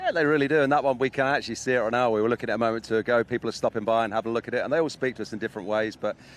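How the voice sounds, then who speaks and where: A man in an English accent speaks at a very fast pace with hardly any pauses. His intonation stays fairly even. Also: medium pitch for a man. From England. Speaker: motorsport event presenter. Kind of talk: live broadcast interview.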